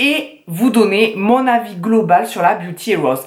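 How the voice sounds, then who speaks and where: The woman's pace is very slow. She speaks with lively, varied intonation. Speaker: beauty YouTuber. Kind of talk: unboxing review vlog. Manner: casual, many hesitations.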